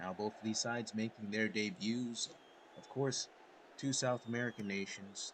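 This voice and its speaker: A quiet voice at a moderate pace with fairly even intonation. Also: man. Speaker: video game commentator. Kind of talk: live commentary. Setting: home recording at night. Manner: quiet, kept down.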